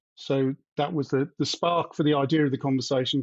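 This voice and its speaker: Talking at a fairly quick pace, a man with a British accent keeps his intonation fairly even. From UK. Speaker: independent software developer. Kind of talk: podcast discussion.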